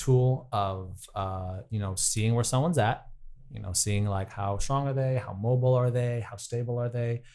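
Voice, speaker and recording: A man with a plain, everyday voice talks at a moderate pace and fairly even intonation on a very clean recording with a silent background. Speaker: personal trainer and professional dancer. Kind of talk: interview.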